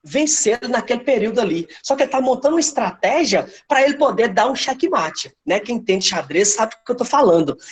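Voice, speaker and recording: Pauses hardly occur at all. The delivery runs fairly quickly. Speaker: history teacher. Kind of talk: online class lecture. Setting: online live class with chat.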